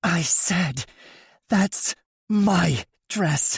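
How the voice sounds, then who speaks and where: This put-on character voice growls at a middle pitch. It also sounds raspy. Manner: snarling.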